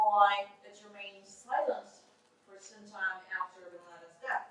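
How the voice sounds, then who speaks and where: The pace of this woman's speech is fairly slow. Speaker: conference presenter. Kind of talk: academic conference presentation. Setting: conference room with audience, no microphone. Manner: loud.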